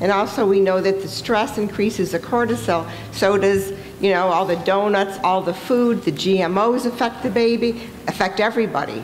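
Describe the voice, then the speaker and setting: Noticeable background noise and audible room echo fill the recording. Over them, a woman talks at a medium pitch. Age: 60s. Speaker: audience member asking a question. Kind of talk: audience question at a panel. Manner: animated.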